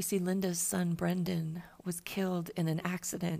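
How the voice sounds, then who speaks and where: A woman with a fairly low pitch and a dark, mellow tone speaks in a somewhat breathy, monotone, flat intonation at a moderate pace. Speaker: podcast host. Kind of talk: scripted narration.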